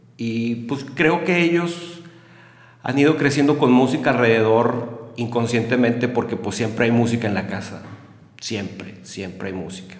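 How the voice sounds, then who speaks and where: A man of medium pitch talks at a fairly slow pace with ordinary pitch variation. Noticeable background noise is present. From Mexico, Monterrey. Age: 40s. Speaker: music enthusiast and musician. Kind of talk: casual chat.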